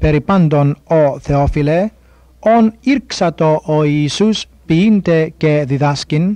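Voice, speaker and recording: A man with a fairly high pitch speaks at a very slow pace, his dark, mellow tone carrying ordinary pitch variation in a dry, close sound with no echo. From Cyprus. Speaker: New Testament scholar. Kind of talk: scripture reading.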